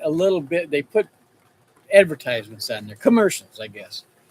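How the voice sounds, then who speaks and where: A Texas-accented man, fairly high in pitch, with very wide pitch swings, in a dry, close sound with no echo. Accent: Texas rural. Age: 70s. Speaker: rancher and livestreamer. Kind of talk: casual livestream chat. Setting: in a shop, livestream. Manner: halting, with many repeats and fillers.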